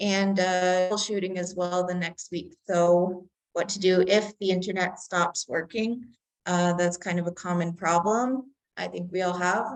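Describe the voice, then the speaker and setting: A woman speaks in an ordinary speaking voice with fairly even intonation. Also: medium pitch for a woman, fairly slow pace. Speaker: community tech instructor. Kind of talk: online workshop presentation.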